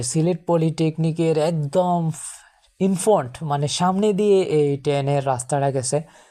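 A woman with a dark, mellow tone and ordinary pitch variation is heard in a very clean recording with a silent background. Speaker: travel vlogger and polytechnic student. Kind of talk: vlog narration. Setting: outdoors on a bike.

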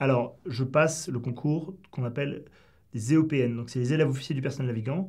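Somewhat breathy and fairly high in pitch, a man speaks at a moderate pace with ordinary pitch variation against a quiet background. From southwest France. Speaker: former special forces soldier. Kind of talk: interview. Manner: halting. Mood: calm, reflective storytelling. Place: studio.

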